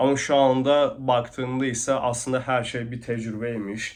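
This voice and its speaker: A man talks at a very slow pace. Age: 20s. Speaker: e-commerce vlogger. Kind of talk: vlog monologue. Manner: hesitant, many fillers.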